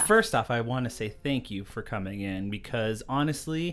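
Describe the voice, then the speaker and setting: The background is silent on this very clean recording of a man talking. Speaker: podcast host.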